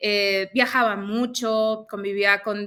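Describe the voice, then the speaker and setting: A woman speaks with a northern Mexican accent at medium pitch, her tone bright and sharp. Her intonation is monotone and flat, on a very clean recording with a silent background. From northern Mexico, Mexicali, Baja California. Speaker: former aviation sales professional, Access Consciousness practitioner. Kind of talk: interview. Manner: speaks a bit loud.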